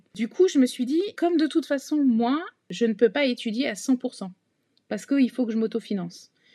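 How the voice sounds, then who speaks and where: A woman speaks at a high pitch and a moderate pace. Her tone is dark and mellow, and her intonation is lively. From Paris region, France. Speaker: bank executive. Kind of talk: casual interview. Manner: hesitant, many fillers.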